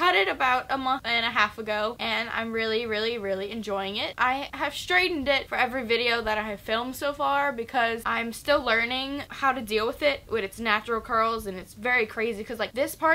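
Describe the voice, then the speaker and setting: The woman's pitch shifts in a normal way. She talks fairly quickly. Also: hardly any pauses. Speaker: book vlogger. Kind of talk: casual vlog chat. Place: home room.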